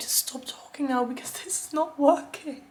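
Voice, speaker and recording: A woman is speaking. Noticeable background noise runs through the recording. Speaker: booktuber. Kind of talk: casual talk to camera.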